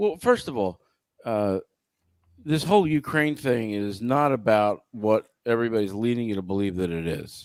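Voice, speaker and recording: In an ordinary speaking voice, a man talks at a moderate pace with a medium pitch and lively intonation, on a very clean recording with a silent background. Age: 50s. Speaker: podcast co-host. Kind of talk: casual chat.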